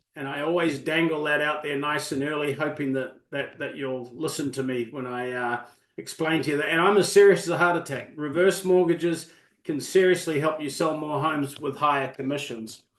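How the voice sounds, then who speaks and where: At a fairly quick pace, someone with a New Zealand accent speaks with fairly even intonation. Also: man, fairly high pitch for a man. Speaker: reverse mortgage specialist. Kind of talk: webinar presentation.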